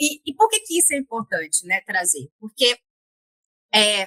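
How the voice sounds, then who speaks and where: A woman speaks in a bright, sharp tone at a fairly high pitch. The sound is dry and close, with no echo. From Bahia, Northeast Brazil. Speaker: guest on career podcast, former public health worker. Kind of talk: interview conversation. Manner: halting, frequent repetitions and fillers.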